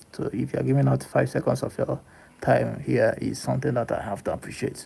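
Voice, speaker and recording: A man with a Nigerian accent at a fairly quick pace. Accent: Nigerian English (Igbo). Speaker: livestreamer / content creator. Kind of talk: casual live-stream monologue. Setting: live stream. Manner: halting, repetitive.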